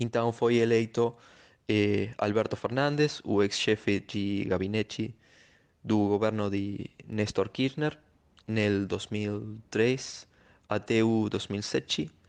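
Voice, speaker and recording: Over a quiet background, a man with a Spanish accent speaks at a very slow pace. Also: fairly low pitch for a man, fairly even intonation. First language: Spanish (speaking Portuguese). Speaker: sociologist. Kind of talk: recorded commentary. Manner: halting, with fillers.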